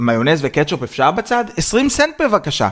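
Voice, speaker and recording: A man talks at a fairly slow pace in an animated tone. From Israel. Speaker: podcast co-host. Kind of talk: casual chat.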